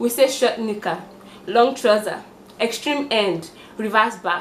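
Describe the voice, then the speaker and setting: With noticeable background noise, a woman in a Nigerian accent speaks at a moderate pace in an animated tone. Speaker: vlogger. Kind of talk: casual vlog monologue.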